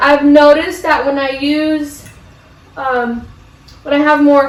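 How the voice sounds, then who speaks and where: High-pitched woman's speech at a fairly slow pace, with audible room echo and noticeable background noise. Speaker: plant hobbyist vlogger. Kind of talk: casual tutorial vlog. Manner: casual, many fillers.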